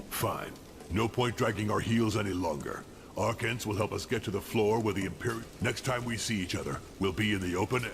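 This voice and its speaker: A gruff, put-on character voice at a fairly quick pace over clear background noise. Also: man, fairly low pitch for a man. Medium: video game. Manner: gruff, blunt, profane.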